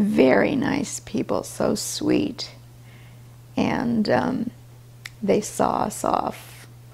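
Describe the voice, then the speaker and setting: Very slow speech with long, frequent pauses over noticeable background noise. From China, Russian descent. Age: 70s. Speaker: grandmother. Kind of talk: interview answer.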